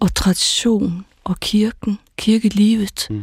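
A woman speaks at a medium pitch with fairly even intonation and a somewhat breathy quality. The sound is dry and close, with no echo. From Faroe Islands. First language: Faroese (speaking Danish). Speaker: pastor. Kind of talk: radio panel discussion.

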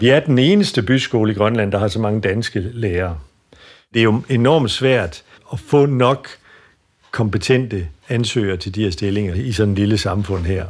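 With an unremarkable speaking voice, a man talks at a moderate pace and a fairly low pitch, his pitch varying in an ordinary way, on a very clean recording with a silent background. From Denmark. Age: 50s. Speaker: school principal. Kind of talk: interview.

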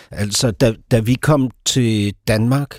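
On a very clean recording with a silent background, a man at a medium pitch speaks with fairly even intonation. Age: 50s. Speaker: author and playwright. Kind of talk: casual chat. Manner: halting.

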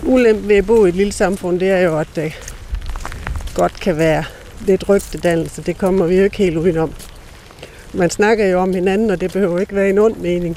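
A woman with a medium pitch speaks at a moderate pace with fairly even intonation. Long, frequent pauses break up her speech over noticeable background noise. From Southern Jutland, Denmark. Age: 50s. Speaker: member of German minority. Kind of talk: interview.

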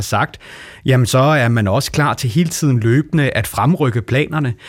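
At a moderate pace, a man with a medium pitch sounds somewhat breathy and keeps his loudness very even. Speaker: politician. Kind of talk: radio debate.

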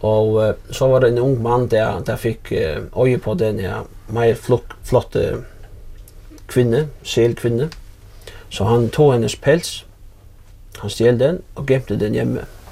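The speaker goes at a very slow pace, with long, frequent pauses and big swings in loudness. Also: man. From Faroe Islands, Runavík. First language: Faroese (speaking Danish). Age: 40s. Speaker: fishing vessel owner. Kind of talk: casual interview. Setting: at home in an old house. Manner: halting, repeated words.

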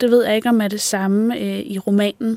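Here is an ordinary speaking voice, moving at a fairly slow pace. Its pitch rises and falls in an ordinary way. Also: woman. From Denmark, northwest Zealand. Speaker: screenwriter and podcast host. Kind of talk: interview conversation; scripted narration.

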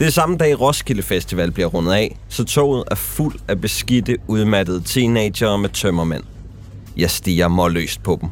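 This man has an ordinary speaking voice, fairly low in pitch, moving at a fairly slow pace with lively intonation. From Denmark. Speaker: documentary narrator. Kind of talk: scripted narration.

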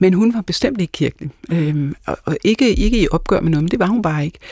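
A woman with a plain, everyday voice and medium pitch talks at a fairly quick pace with lively intonation, the sound dry and close with no echo. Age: 50s. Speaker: pastor and Kierkegaard scholar. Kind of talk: casual chat. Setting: studio.

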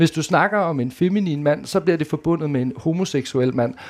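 A man's normal speaking voice, fairly high in pitch, with ordinary pitch variation. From Denmark, Djursland (Mols). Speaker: reality TV participant. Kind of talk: live panel conversation. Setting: stage with audience.

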